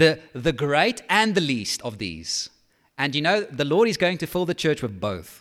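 Fairly slow speech with vocal fry and very wide pitch swings, on a very clean recording with a silent background. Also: man, fairly high pitch for a man. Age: 30s. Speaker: pastor. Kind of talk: sermon. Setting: church.

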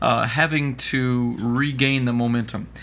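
A man's voice at medium pitch with fairly even intonation, a normal speaking voice. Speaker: podcast host. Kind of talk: casual chat. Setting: studio.

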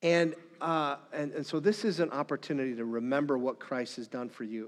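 A man with an Upper Midwest accent, at a moderate pace with ordinary pitch variation, against a quiet background. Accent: Upper Midwest American. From northern Minnesota. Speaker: pastor. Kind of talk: sermon.

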